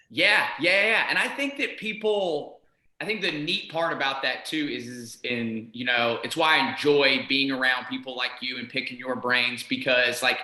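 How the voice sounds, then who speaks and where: Energetic in tone, a man with a medium pitch speaks at a moderate pace with lively intonation and hardly any pauses. Audible room echo surrounds his voice. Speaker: podcast host. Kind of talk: interview.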